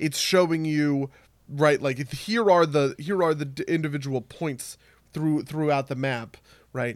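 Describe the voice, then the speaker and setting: A man with a fairly high pitch talks at a moderate pace in an ordinary speaking voice, with ordinary pitch variation, on a very clean recording with a silent background. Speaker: podcast co-host. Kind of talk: casual chat about games. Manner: explanatory, swears casually.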